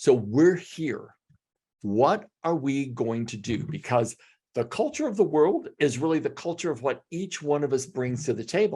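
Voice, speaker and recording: A man at a moderate pace, somewhat breathy, with lively intonation. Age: 70s. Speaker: executive coach. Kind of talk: podcast interview. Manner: passionate, flowing.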